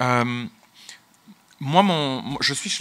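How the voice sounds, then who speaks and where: A man speaks with lively intonation. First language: English (speaking French). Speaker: business executive. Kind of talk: conference talk. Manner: halting, many repetitions.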